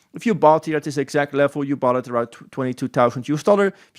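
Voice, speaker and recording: A man's fairly high voice with a Dutch accent and ordinary pitch variation, dry and close with no echo, in a very clean recording with a silent background. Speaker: crypto trading analyst. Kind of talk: chart analysis tutorial. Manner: casual, animated.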